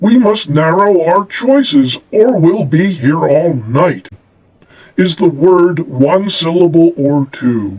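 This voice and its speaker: Putting on a character voice, a man speaks with a high pitch at a fairly slow pace. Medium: read story. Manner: pompous, deliberate.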